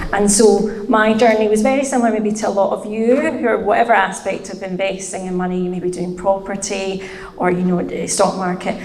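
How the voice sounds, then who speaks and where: A woman with a Scottish accent talks at a medium pitch with hardly any pauses. The room echo is audible, and there is noticeable background noise. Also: fairly even intonation, fairly quick pace. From Scotland, Glasgow. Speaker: finance content creator. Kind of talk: podcast interview.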